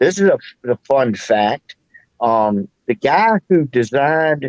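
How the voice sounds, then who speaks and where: The sound is dry and close, with no echo. A man speaks with lively intonation. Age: 60s. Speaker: livestream chat participant. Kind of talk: casual chat. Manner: hesitant, with fillers.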